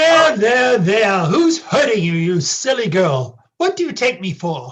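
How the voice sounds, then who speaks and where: Pitch swings very widely as the speaker, using a put-on character voice, goes along at a fairly slow pace. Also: man, high pitch for a man. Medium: stage play. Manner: curt, impatient.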